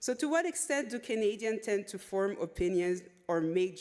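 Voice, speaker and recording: In a French accent, a woman speaks at a moderate pace with ordinary pitch variation. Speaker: conference presenter, researcher. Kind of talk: conference presentation of a report. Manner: reads with frequent repetitions and self-corrections.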